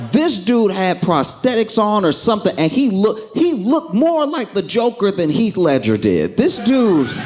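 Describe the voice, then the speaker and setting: Over music in the background, a man with a high pitch talks at a moderate pace, his pitch swinging very widely. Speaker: stand-up comedian. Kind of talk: stand-up comedy set. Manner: calm.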